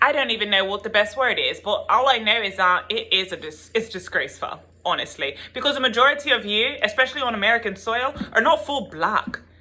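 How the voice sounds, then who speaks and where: Against noticeable background noise, a woman with a South African accent talks at a fairly quick pace with a fairly high pitch. Her tone is animated and her intonation lively. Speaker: YouTuber and tarot reader. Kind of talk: opinion vlog rant. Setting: home video with her son present.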